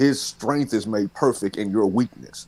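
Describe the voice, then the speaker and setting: Here a man talks with a Southern US accent. His pace is fairly slow and his intonation lively. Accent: Southern drawl. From US South. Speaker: pastor. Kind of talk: casual panel discussion.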